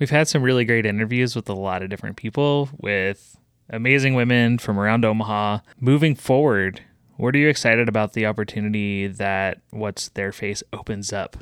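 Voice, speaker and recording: A normal speaking voice at a fairly quick pace, dry and close with no echo, on a very clean recording with a silent background. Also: man, medium pitch for a man, ordinary pitch variation. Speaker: podcast producer. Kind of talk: casual conversation. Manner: casual, conversational.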